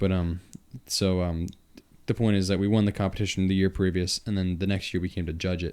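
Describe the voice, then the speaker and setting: With a Long Island accent, a man talks at a fairly quick pace in a very deep, low pitch and a monotone, flat intonation. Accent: Long Island accent, noticeable. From Long Island, New York. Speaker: podcast host and musician. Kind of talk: casual chat. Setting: studio.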